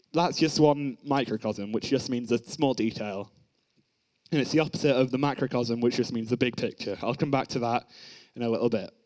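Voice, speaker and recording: A man with an unremarkable speaking voice talks at a fairly quick pace, medium in pitch, with ordinary pitch variation. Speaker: young preacher at youth service. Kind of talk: sermon. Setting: church.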